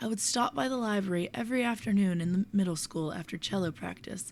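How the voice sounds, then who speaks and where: Soft-spoken, the woman has a medium pitch with ordinary variation. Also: very clean recording, silent background. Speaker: poetry reader. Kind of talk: casual commentary.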